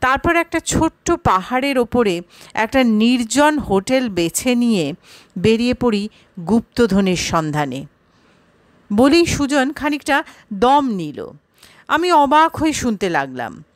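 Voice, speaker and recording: Dry and close with no echo, a woman's high-pitched voice moves through very wide pitch swings. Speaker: audio story narrator. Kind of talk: horror story audiobook narration.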